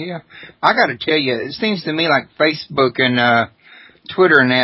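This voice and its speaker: With a normal speaking voice, a man talks at a moderate pace and fairly high pitch. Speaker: radio host. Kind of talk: radio talk show.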